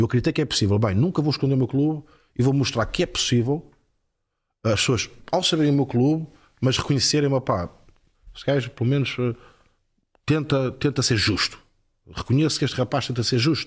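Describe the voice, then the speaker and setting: Recorded very cleanly against a silent background, a man with a medium pitch and ordinary pitch variation talks at a fairly quick pace, somewhat breathy, with long, frequent pauses. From northern Portugal, Porto. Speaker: former footballer turned football pundit. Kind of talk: casual interview chat.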